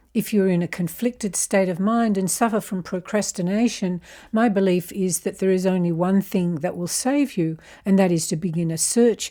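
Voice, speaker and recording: In an Australian accent, a woman talks at a moderate pace with a dark, mellow tone and ordinary pitch variation. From Australia (Canberra). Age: 70s. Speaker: self-help video presenter. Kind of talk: scripted narration.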